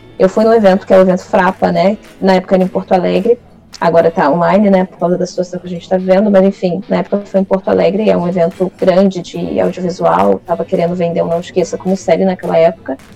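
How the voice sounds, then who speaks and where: Noticeable background noise sits behind a woman's fairly low voice. She speaks at a very fast pace in a flat monotone. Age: 20s. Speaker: writer and creative writing teacher. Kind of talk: casual interview.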